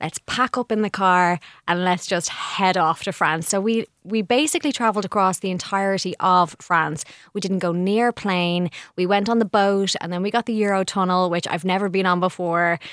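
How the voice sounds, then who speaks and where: A woman with an ordinary speaking voice talks at a moderate pace, medium in pitch, with fairly even intonation. The recording is very clean with a silent background and a dry, close sound with no echo. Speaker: journalist guest on interior trends. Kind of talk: casual chat.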